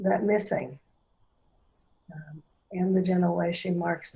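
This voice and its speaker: A woman's fairly low, somewhat breathy voice moves at a fairly slow pace. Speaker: workshop facilitator. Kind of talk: guided experiential workshop. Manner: slow, pausing.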